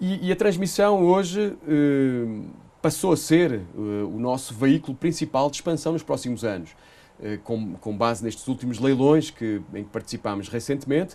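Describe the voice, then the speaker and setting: A man with a Portuguese accent, fairly high-pitched, with very wide pitch swings and a moderate pace. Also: quiet background. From Portugal. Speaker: energy company executive. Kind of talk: interview. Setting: studio. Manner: hesitant, many fillers.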